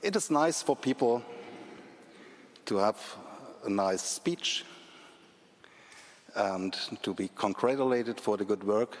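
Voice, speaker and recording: Using a fairly low pitch and ordinary pitch variation, a man with a German accent speaks at a fairly slow pace with long, frequent pauses. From Germany, Leipzig. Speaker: speaker at commemorative event. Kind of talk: public speech. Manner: halting.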